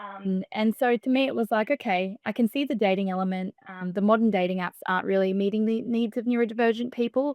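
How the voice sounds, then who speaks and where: In an Australian accent, a woman talks at a very fast pace with hardly any pauses and a fairly high pitch. Her pitch varies in an ordinary way, and the sound is dry and close with no echo. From Australia, Melbourne. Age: 20s. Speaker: startup founder. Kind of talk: podcast interview. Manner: soft-spoken.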